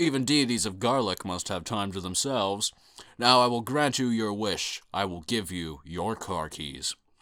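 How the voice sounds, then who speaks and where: A man puts on a booming character voice of fairly low pitch, going at a moderate pace in a very clean recording with a silent background. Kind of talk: comic overacting of a booming deity. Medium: read story. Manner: grandiose, commanding.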